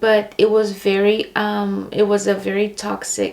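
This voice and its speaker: Someone with a Brazilian accent talks at a very slow pace amid noticeable background noise. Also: woman. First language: Portuguese. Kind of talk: personal faith testimony. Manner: hesitant, many fillers.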